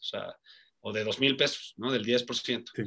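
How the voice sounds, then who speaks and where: A man is talking. His tone is bright and sharp. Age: 30s. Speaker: sports journalist and betting analyst. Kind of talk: casual interview.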